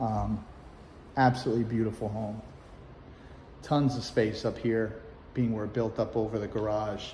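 A man with a dark, mellow tone sounds somewhat breathy, with monotone, flat intonation at a moderate pace. Audible room echo and light background noise are present. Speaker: real estate agent. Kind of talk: home tour vlog. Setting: outdoors; open house, walking through a home. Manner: casual, conversational. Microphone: iPhone on a gimbal; phone near.

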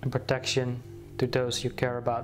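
With music in the background, a man at medium pitch speaks very slowly in a calm tone. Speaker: guided meditation teacher. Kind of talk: guided meditation. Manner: slow, calm, with long pauses.

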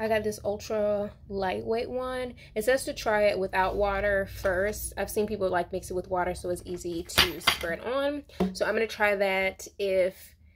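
Here a woman talks at a moderate pace with ordinary pitch variation. There is noticeable noise in the background. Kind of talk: casual vlog chat, tutorial. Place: bathroom. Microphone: phone near.

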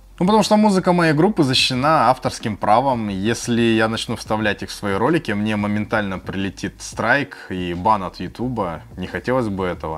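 Over noticeable background noise, a man with a fairly low pitch talks at a moderate pace with lively intonation and hardly any pauses. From Khabarovsk, Russia. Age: 30s. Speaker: food and music vlogger. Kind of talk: casual Q&A to camera. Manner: friendly, conversational.

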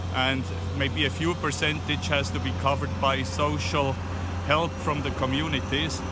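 A man with a Swiss accent, very deep and low in pitch, lively in intonation, at a fairly slow pace, the sound dry with no echo under loud background noise. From Switzerland. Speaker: interviewee, Swiss resident. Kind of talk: interview answer. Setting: outdoors. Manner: hesitant, halting. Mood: calm, matter-of-fact. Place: street. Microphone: phone near.

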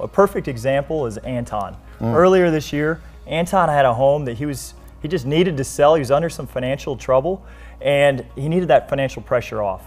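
Faint music plays in the background. A man talks at a very fast pace with ordinary pitch variation. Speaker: guest. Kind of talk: interview answer. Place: studio. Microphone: lapel.

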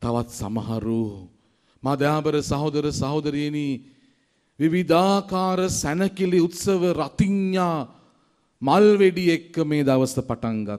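The speech moves at a very slow pace with lively intonation. The background is quiet. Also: man, fairly high pitch for a man. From Sri Lanka. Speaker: priest. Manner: impassioned, rhythmic preaching with long cascading repetitions; rising oratorical build-ups ending in fervent exhortation. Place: church. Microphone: podium.

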